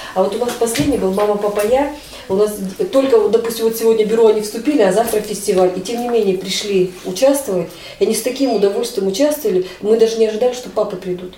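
A woman with a fairly high pitch talks very fast, her pitch varying in an ordinary way. The recording carries audible room echo and noticeable background noise. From Russia, Chelyabinsk. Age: 50s. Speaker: head of a local society for the blind. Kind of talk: interview.

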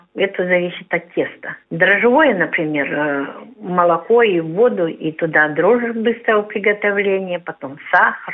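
With a plain, everyday voice, a woman talks fairly slowly at a medium pitch with ordinary pitch variation. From Kalmykia. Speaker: representative of a society for the blind. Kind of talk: radio interview about cooking. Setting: phone call.

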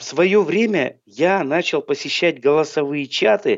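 The intonation here is lively. A man delivers it at a very slow pace. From Southern Urals, Chelyabinsk. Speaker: blind singer and musician. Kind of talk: radio interview.

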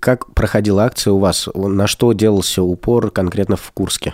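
A man speaks in a plain, everyday voice, fairly low in pitch. The sound is dry and close with no echo, at a moderate pace. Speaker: radio host. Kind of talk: radio talk show, live link-up with remote participants. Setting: studio.

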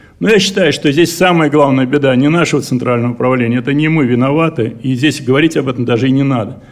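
Room echo is audible as a man with a fairly high voice and ordinary pitch variation speaks at a very fast pace. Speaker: enterprise director. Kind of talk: conference speech. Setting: congress hall.

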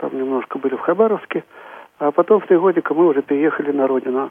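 At a very fast pace, a man talks in a fairly high pitch that varies in an ordinary way. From Tula, central Russia. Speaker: chairman of regional society of the blind. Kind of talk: radio interview.

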